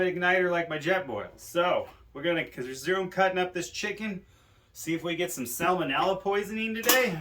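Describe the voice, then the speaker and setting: Speaking in a raised, projected voice with a high pitch, a man moves at a fairly quick pace amid audible room echo. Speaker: outdoor cooking vlogger. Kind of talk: casual vlog tutorial. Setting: garage home studio. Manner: loud; casual rambling.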